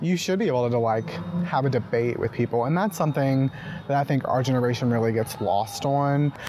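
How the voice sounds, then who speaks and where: Over noticeable background noise, a man with an American accent talks fairly quickly at medium pitch, with ordinary pitch variation and very even loudness. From Mississippi. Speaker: podcast host and journalist. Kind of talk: interview; scripted narration. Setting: outdoors.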